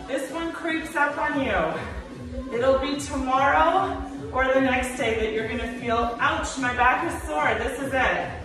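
A woman talks at a fairly slow pace with a high pitch and lively intonation. Noticeable background noise and audible room echo fill the recording. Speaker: fitness instructor. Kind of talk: workout instruction. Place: gym. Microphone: camera far.

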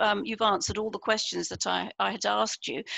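Against a quiet background with a dry, echo-free sound, a woman talks fairly quickly in a bright, sharp tone with lively intonation and vocal fry. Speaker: book coach and publisher; book coach. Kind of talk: online interview. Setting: video call. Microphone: headset.

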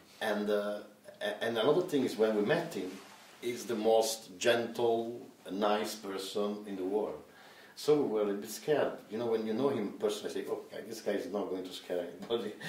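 A man at a fairly low pitch with ordinary pitch variation, a moderate pace and audible room echo. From Italy. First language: Italian. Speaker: film director; interviewee. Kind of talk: interview; interview answer. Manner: halting. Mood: relaxed, cheerful.

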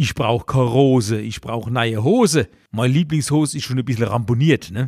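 With a dry, close sound and no echo, a man speaks at a moderate pace and medium pitch, using ordinary pitch variation. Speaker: cabaret artist. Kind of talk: comedic dialect monologue, satirical commentary. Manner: chatty, humorous.

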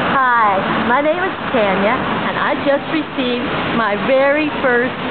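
A woman at a fairly slow pace with ordinary pitch variation over loud background noise. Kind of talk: casual vlog chat. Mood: excited, delighted. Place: hall. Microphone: phone near.

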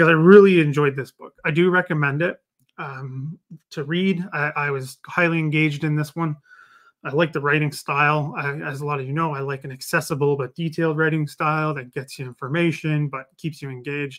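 Against a quiet background, a man speaks at a fairly quick pace in a monotone, flat intonation. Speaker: book reviewer. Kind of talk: casual live stream book review. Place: home room. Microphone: webcam.

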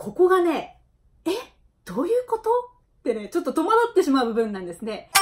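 A woman's extremely high voice at a fairly quick pace, with very wide pitch swings and big jumps in loudness over a quiet background. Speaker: Okinawan language teacher. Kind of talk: educational talk to camera. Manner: upbeat, friendly.

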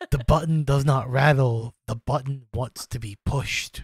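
A man performs a put-on character voice at medium pitch. He keeps a moderate pace. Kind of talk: comic game master voice. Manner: insistent, repetitive, wheedling.

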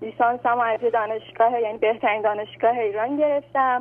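A woman talks fairly quickly, her high voice rising and falling in an ordinary way. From Iran, Tehran. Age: 20s. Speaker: caller. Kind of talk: phone-in question. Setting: phone call.

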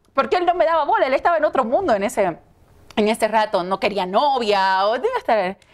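A woman speaks in a high pitch at a fairly quick pace, with hardly any pauses and very wide pitch swings. Her loudness stays very even against a quiet background. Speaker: TV news presenter. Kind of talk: interview. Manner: talkative. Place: studio. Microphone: lapel.

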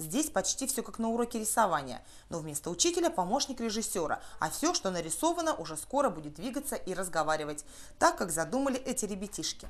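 Speaking at a fast pace, a woman moves through big pitch swings. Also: medium pitch for a woman.

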